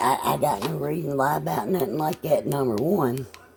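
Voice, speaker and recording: A woman's very deep, low voice at a moderate pace, over noticeable background noise. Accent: American. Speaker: small farm vlogger. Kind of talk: casual chat.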